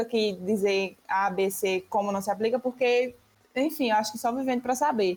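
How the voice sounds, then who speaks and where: The voice moves at a moderate pace with ordinary pitch variation. Its loudness stays very even. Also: woman. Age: 20s. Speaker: university student. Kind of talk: casual discussion podcast.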